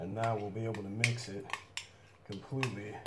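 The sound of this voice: A man's fairly low, fairly bright voice at a moderate pace, with audible room echo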